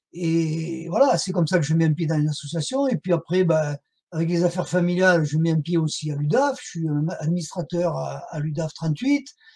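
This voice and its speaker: Pitched high for a man, his voice shows ordinary variation at a moderate pace. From southern France. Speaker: whistleblower and association activist. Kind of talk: interview testimony. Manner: halting, many fillers.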